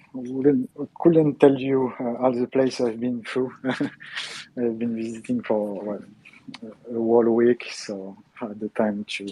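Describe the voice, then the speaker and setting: Speaking very slowly with a French accent, a man keeps his medium-pitched voice fairly even in intonation. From France. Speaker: gaming channel host. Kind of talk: interview. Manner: halting, many fillers.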